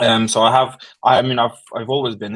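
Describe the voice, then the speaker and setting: A man speaks with an Estonian accent. His delivery is fairly quick, with monotone, flat intonation. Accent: Russian-speaking Estonian English. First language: Russian. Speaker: war translator, social media manager. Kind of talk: interview. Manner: halting, many fillers.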